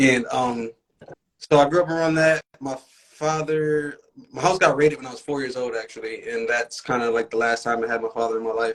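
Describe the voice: Speech moves at a moderate pace. Its intonation is fairly even. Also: man, medium pitch for a man.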